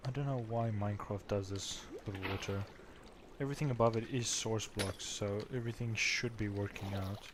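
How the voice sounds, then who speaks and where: A quiet man with a fairly low pitch, fairly even intonation and a moderate pace. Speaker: gaming streamer. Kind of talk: live game commentary. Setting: livestream. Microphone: mic too quiet.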